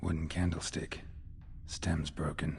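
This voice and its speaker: A man puts on a character voice, speaking fairly slowly at a very deep, low pitch. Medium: video game. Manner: terse, clipped, dry.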